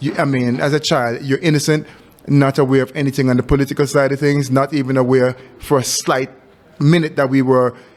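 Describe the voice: At a fairly quick pace, a man speaks at medium pitch with fairly even intonation.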